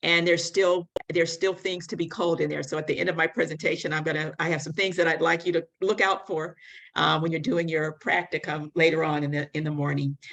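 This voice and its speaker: Fairly low in pitch and with an American accent, a woman uses an unremarkable speaking voice at a fairly quick pace with fairly even intonation over a quiet background. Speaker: public health advocate. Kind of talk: conference presentation.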